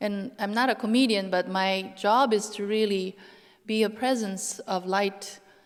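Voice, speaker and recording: Here a woman speaks with a non-native accent at a moderate pace. Her pitch is medium for a woman. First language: not English. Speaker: lecturer. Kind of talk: Q&A panel answer. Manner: halting.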